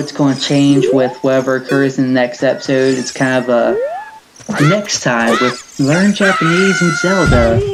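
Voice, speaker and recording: A speaker with a Southern US accent. Noticeable background noise runs underneath. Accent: southern US drawl. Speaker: gaming and language-learning YouTuber. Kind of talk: casual video commentary. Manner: casual, halting with fillers.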